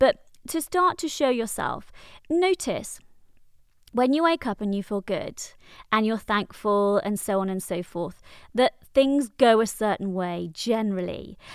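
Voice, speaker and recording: The speaker moves at a fairly slow pace with very wide pitch swings, on a very clean recording with a silent background. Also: woman, fairly high pitch for a woman. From Wales. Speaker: therapist and coach. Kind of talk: solo podcast monologue.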